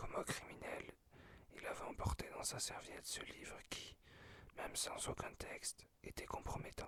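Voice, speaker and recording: Whispered words come through. They unfold at a fairly slow pace. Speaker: ASMR creator. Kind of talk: reading aloud. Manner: whispering; halting, self-correcting.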